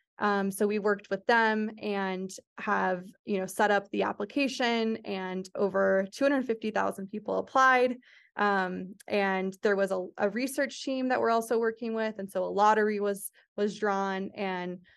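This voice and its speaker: A woman's normal speaking voice at medium pitch, moderate pace and fairly even intonation, over a quiet background. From US Southwest, Phoenix, Arizona. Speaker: startup founder and CEO. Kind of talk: interview conversation.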